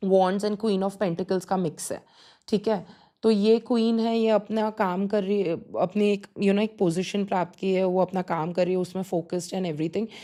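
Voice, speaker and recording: Dark and mellow in tone, a woman speaks at medium pitch and a moderate pace. Her intonation stays fairly even. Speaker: tarot reader. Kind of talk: pick-a-card tarot reading. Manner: conversational, hesitant with fillers.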